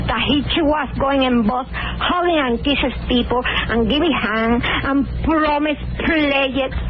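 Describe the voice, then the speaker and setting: In a Cuban accent, a woman talks at a fairly slow pace and high pitch, with fairly even intonation, very even loudness and hardly any pauses, amid audible room echo and noticeable background noise. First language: Spanish. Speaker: caller. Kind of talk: radio call-in.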